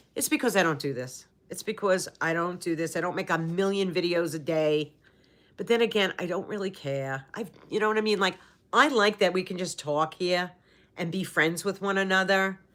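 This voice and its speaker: In a very clean recording with a silent background, a woman with an American accent uses an ordinary speaking voice at medium pitch, a moderate pace and ordinary pitch variation. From New York City. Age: 60s. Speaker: YouTuber. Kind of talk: casual livestream chat. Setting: home livestream.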